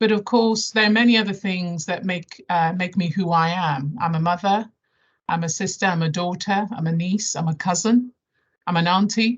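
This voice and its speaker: Somewhat breathy speech in a southern English accent. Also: woman, medium pitch for a woman, ordinary pitch variation, moderate pace. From London area, England (born Nigeria, moved at 11). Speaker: health service chief executive. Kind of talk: presentation to staff. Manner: hesitant, many fillers.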